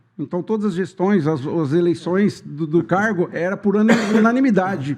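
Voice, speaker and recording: A man speaks at a moderate pace with high pitch and ordinary pitch variation. Noticeable background noise runs under his voice. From Ribeirão Preto region, São Paulo state, Brazil. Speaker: rural union president, cooperative candidate. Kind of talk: podcast interview. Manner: halting.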